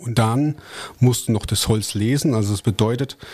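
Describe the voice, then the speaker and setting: A man talks fairly slowly, his medium-pitched voice showing ordinary pitch variation. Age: 30s. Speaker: forestry worker and competitive lumberjack athlete. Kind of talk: casual interview.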